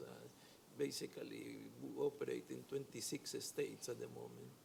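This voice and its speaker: This man speaks with a Spanish accent. His pace is moderate. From Peru. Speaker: community development lender. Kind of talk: panel discussion. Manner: halting, many fillers.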